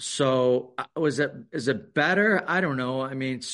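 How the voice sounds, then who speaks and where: In a quiet setting, a medium-pitched male voice carries ordinary pitch variation. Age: 50s. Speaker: college lacrosse head coach. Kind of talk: casual interview. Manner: halting, repeats words.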